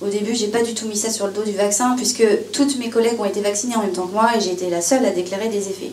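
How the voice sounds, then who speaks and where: Over noticeable background noise and audible room echo, a woman talks at a very fast pace with fairly even intonation. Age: 30s. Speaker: former pharmacy assistant giving testimony. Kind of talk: testimony. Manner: halting, many hesitations.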